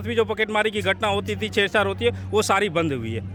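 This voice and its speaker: A man is speaking at a moderate pace. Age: 40s. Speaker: home guard protester. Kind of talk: street interview.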